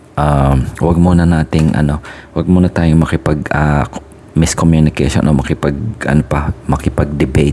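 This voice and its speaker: A soft-spoken man at a very deep, low pitch, flat and monotone, with very even loudness at a moderate pace over noticeable background noise. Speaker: tarot reader. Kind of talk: casual chat.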